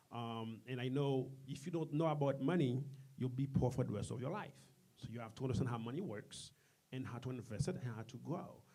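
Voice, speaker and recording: Somewhat breathy, a man with a medium-pitched, dark and mellow voice speaks at a fairly quick pace with ordinary pitch variation. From Haiti. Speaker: community business leader. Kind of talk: interview. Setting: studio with live audience.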